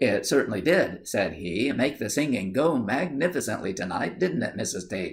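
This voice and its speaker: A man's somewhat breathy voice at medium pitch, with very wide pitch swings and hardly any pauses. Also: moderate pace. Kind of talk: audiobook reading.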